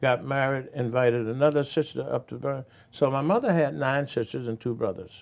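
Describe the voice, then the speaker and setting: In an Alabama accent, a man talks at a fairly quick pace. His pitch varies in an ordinary way. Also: medium pitch for a man. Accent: Southern US (Alabama). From US South, Birmingham, Alabama. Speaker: former state representative and civil rights veteran. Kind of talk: interview.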